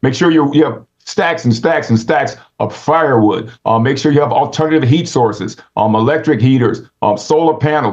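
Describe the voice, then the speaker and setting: This man's voice sits fairly high for a man and shows ordinary pitch variation. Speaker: Adventist speaker on rural living. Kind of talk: instructional talk. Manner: fast; halting, many fillers.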